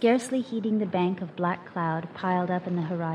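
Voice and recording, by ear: The clip is reading aloud in a natural voice with ordinary pitch variation.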